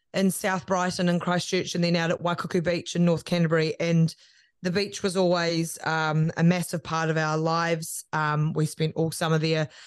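This is a woman with a New Zealand accent. Her voice sits fairly low in pitch. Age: 30s. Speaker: media personality and podcast producer. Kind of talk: casual interview chat.

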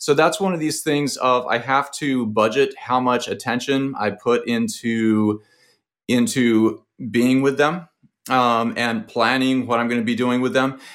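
Fairly slow speech from a man at medium pitch with ordinary pitch variation, on a very clean recording with a silent background. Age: 40s. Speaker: aerospace engineer and hedge fund manager. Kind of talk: casual interview. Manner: halting.

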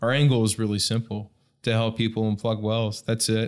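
A man speaks at a fairly quick pace with a fairly low pitch. The recording is very clean and the background silent. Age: 30s. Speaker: nonprofit founder, former well plugging worker. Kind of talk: casual interview.

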